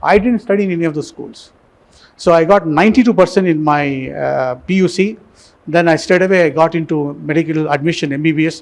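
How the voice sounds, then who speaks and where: This man's voice is high in pitch, with ordinary pitch variation. He speaks at a fairly quick pace. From India, Tamil Nadu, Coimbatore. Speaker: surgeon. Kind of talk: motivational talk to students. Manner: halting.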